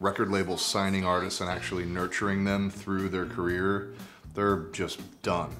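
Faint music plays in the background as a man speaks in a fairly low voice. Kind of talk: interview answer. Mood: relaxed, reflective. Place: home room.

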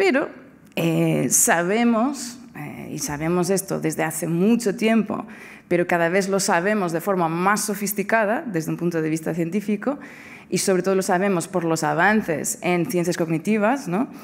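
A woman in a Portuguese accent speaks at a moderate pace and a medium pitch, with ordinary pitch variation. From Portugal. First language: Portuguese (speaking Spanish). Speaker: philosophy professor. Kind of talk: lecture. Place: hall. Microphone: podium.

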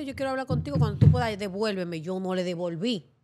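With light background noise behind her, a woman talks fairly quickly. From Dominican Republic, Montecristi; Dominican Republic. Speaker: TV presenter. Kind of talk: casual interview. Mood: relaxed, candid. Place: studio. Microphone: studio mic.

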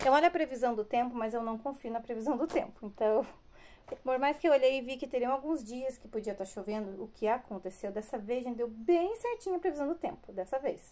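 Her voice high and dark, mellow in tone, a woman talks at a fairly quick pace with lively intonation. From Brazil. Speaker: vlogger and hair salon owner; vlogger. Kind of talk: casual vlog talk to camera. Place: home room. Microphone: phone near.

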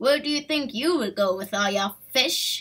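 A female-sounding, put-on character voice pitched high for a woman. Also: moderate pace. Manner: angry, hissing.

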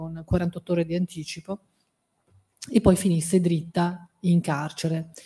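A woman talks at a fairly low pitch. Her tone is dark and mellow. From Piedmont, Italy (Alessandria); Piedmont, Italy. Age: 50s. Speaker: academic and journalist; journalist. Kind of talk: book presentation talk. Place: hall. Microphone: podium.

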